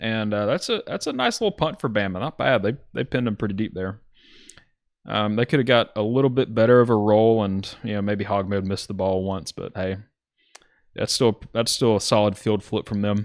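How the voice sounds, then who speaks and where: A man with a Southern accent at a fairly quick pace, fairly even intonation, and a very clean recording with a silent background. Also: fairly low pitch for a man. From US South, Alabama. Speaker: video game football commentator. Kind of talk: live commentary. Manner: casual, with fillers and self-corrections.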